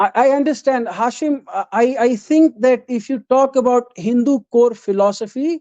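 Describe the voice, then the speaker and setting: With an Indian accent, the speaker keeps a moderate pace with hardly any pauses. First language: Hindi. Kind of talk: live debate. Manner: halting.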